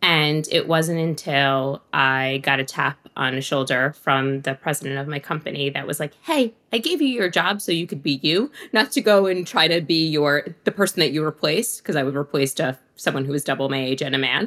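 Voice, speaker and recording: A woman's very deep, low pitch at a moderate pace, with ordinary pitch variation and hardly any pauses. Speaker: image and personal brand consultant. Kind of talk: casual interview.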